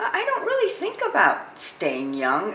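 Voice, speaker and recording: Audible room echo and noticeable background noise surround a woman speaking at a fairly slow pace. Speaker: elderly interviewee. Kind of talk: documentary interview. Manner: halting, with fillers.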